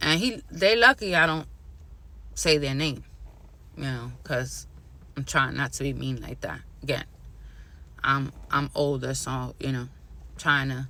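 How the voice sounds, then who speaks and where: Someone with a New York accent talks at a fairly slow pace, leaving long, frequent pauses. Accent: New York (Bronx). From New York City, the Bronx. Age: 40s. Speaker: vlogger. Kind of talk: casual vlog rant.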